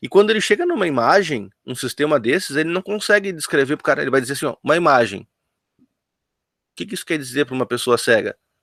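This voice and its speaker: A man speaks at a very fast pace with fairly high pitch, lively intonation and big swings in loudness. The sound is dry and close, with no echo. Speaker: teacher. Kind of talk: online lecture.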